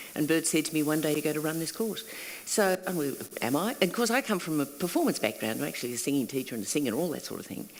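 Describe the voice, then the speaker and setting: A woman talks at a very fast pace with a very deep, low pitch. Her Australian accent carries lively intonation. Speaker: singing teacher and workshop facilitator. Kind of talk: panel conversation. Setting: stage with audience.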